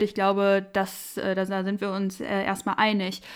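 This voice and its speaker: A fairly slow pace from a woman, on a very clean recording with a silent background. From Sauerland, western Germany. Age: 20s. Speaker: podcast co-host, lawyer and party youth politician. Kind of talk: casual political chat.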